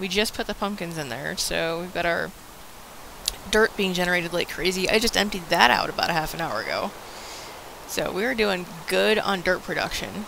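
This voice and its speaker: The speech is broken by long, frequent pauses. Noticeable background noise is present. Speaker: gaming video co-host. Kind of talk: casual let's play chat. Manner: loud; animated.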